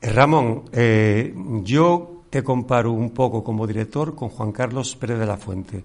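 The man talks with ordinary pitch movement, sitting at a medium pitch. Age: 60s. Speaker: radio host and actor. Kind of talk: radio interview. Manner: halting.

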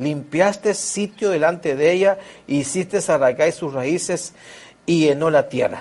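A high-pitched, animated man's voice at a fairly slow pace with ordinary pitch variation. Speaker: preacher. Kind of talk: sermon. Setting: church. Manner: animated, earnest, exhorting with repetition.

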